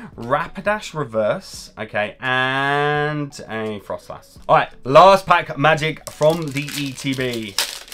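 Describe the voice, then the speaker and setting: Lively intonation and a British accent come through over light background noise. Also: man. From UK. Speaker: pokemon card youtuber. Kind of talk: card pack opening video. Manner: animated. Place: home room.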